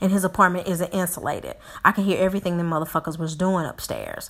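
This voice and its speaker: A woman talks very fast in an animated tone, her pitch fairly low. The recording is very clean with a silent background. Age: 40s. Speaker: podcast host. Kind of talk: casual monologue.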